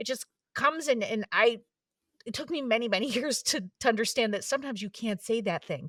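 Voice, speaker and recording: A woman is speaking with ordinary pitch variation. The sound is dry and close, with no echo. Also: fairly quick pace. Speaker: writer and former stand-up comedian. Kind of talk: interview conversation. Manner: fast, halting with many fillers.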